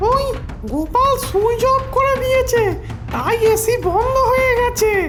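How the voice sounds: A squeaky, cartoonish character voice at an extremely high pitch, fairly slow in pace, over loud music in the background.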